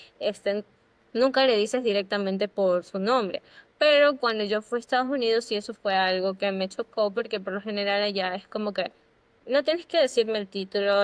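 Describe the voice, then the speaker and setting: A woman with a normal speaking voice talks fairly quickly at a medium pitch, with ordinary pitch variation. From Ecuador. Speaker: podcast co-host. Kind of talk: casual chat.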